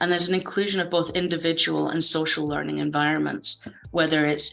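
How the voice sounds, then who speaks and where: With a Scottish accent, a woman speaks at a very deep, low pitch. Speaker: game design speaker. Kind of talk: conference talk.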